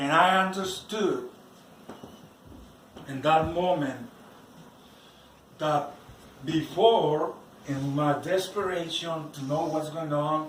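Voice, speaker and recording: A man with a non-native accent speaks at a very slow pace with fairly even intonation. His speech has long, frequent pauses, and background noise is noticeable. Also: fairly high pitch for a man. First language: not English. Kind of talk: personal religious testimony.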